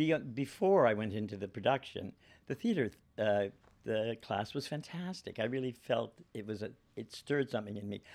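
This man has a normal speaking voice and lively intonation. He talks at a moderate pace in a very clean recording with a silent background. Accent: Canadian. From Ontario, Canada (Guelph). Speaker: actor and playwright. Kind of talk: casual chat. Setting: studio.

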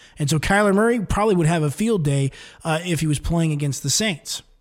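On a very clean recording with a silent background, a somewhat breathy man talks at a fairly quick pace with ordinary pitch variation. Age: 30s. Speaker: sports radio host. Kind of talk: sports talk monologue.

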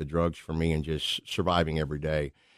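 A man's very deep, low voice with an American accent, dry and close with no echo, over a quiet background. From Missouri, St. Louis area. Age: 60s. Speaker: prison minister, former baseball player. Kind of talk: testimony. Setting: radio studio. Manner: animated.

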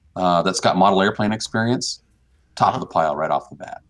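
A man is speaking. His voice is very deep and low. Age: 40s. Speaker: NASA chief pilot and RC airplane hobbyist. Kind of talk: casual interview.

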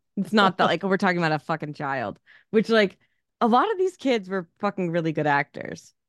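A woman's normal speaking voice at medium pitch, fairly quick and lively in intonation, dry and close with no echo, in a quiet background. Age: 30s. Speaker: podcast co-host. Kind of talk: casual chat.

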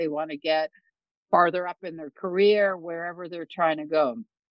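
A woman's unremarkable speaking voice, fairly low in pitch with ordinary pitch variation, in a Canadian accent. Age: 60s. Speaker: songwriter and keynote speaker, former financial advisor. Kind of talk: casual interview chat.

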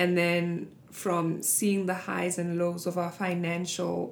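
A woman's fairly low voice at a very slow pace, with audible room echo. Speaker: podcast host. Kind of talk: casual chat. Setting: studio. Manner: animated.

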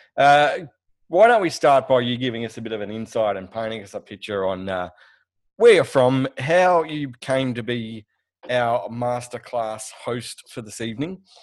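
The voice comes with an Australian accent and ordinary pitch variation. Its loudness rises and falls sharply. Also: man, medium pitch for a man, moderate pace. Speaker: podcast co-host. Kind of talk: casual chat. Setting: video call.

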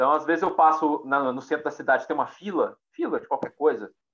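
Very wide pitch swings run through the speech of this man. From Minas Gerais, Brazil (Pedro Leopoldo, near Belo Horizonte). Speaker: psychologist and university researcher. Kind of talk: casual chat.

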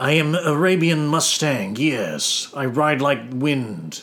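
A man uses a put-on character voice, raised and projected. His pitch is fairly high and his pace fairly slow. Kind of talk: formal, stylized. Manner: svelte, smooth.

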